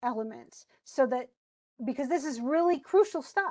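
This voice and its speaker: A woman speaks at a high pitch with ordinary pitch variation. Her pace is moderate, and the background is quiet. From US, moved around (Arizona, South Carolina, Washington, Midwest). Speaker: teacher. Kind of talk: lecture. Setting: online class with chat. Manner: casual, conversational with false starts.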